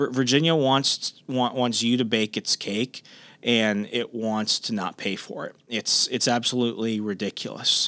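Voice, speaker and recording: A loud man speaks at a medium pitch and a fairly slow pace, with fairly even intonation. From US, military family, moved around. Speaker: solo podcast host. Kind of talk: solo monologue podcast. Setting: home recording at night. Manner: quieter than usual.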